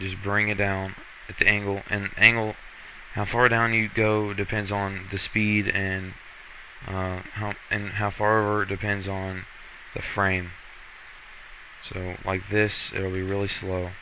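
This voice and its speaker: A man with a fairly low pitch talks fairly slowly in a monotone, flat way, pausing long and often, with noticeable background noise. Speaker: software tutorial maker. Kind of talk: tutorial. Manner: casual, hesitant with fillers.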